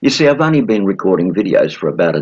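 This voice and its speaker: Vocal fry runs through a man's fairly low voice as his pitch swings very widely. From Australia. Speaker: sales trainer. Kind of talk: video introduction.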